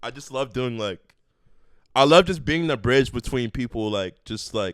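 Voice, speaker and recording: A man's normal speaking voice at medium pitch and moderate pace, with lively intonation and big swings in loudness, on a very clean recording with a silent background. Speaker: rapper and producer. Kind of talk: casual chat.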